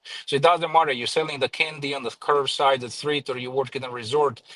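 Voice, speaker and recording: A man with a Croatian accent, bright and sharp in tone, with fairly even intonation and a dry, close sound without echo. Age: 40s. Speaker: professional private driver. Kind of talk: casual interview. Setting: live stream.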